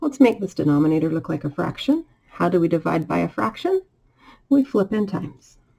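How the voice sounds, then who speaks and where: A woman's fairly low, dark and mellow voice with vocal fry, very wide pitch swings and a fairly quick pace. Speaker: math teacher. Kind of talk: tutorial.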